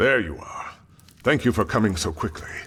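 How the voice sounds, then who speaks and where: A man puts on a raspy character voice at a medium pitch. His pitch swings very widely at a moderate pace. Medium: machinima. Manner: subdued, heavy.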